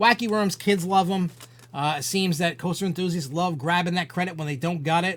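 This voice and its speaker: A man with an American accent speaks at a high pitch and a fairly quick pace. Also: ordinary pitch variation. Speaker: podcast host. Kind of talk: live-stream chat show. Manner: halting.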